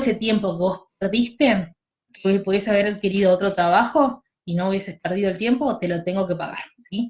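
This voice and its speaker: A woman's somewhat breathy voice holds a medium pitch, with ordinary pitch variation, at a moderate pace. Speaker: law tutor. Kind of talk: lecture.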